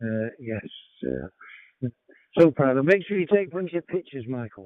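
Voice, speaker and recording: With a British accent, a man speaks at medium pitch and a moderate pace, his intonation lively. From United Kingdom. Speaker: amateur radio operator. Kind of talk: radio net check-in. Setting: radio transmission. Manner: halting, many fillers.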